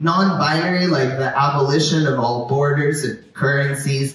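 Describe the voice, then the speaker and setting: A man's voice with ordinary pitch variation, amid noticeable background noise and audible room echo. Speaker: poet. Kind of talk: poetry reading. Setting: stage at outdoor street festival.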